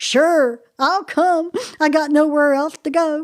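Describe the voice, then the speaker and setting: High in pitch, a woman talks in a put-on character voice. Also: fairly slow pace. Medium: read story. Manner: sad, plaintive.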